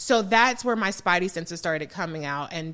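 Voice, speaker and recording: A woman with an American accent speaks in a fairly low pitch at a fairly quick pace. Her tone is animated, with ordinary pitch variation. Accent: slight Southern-sounding to some listeners. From Southern California, Los Angeles. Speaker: political commentator and radio host. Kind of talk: podcast interview. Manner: animated, conversational.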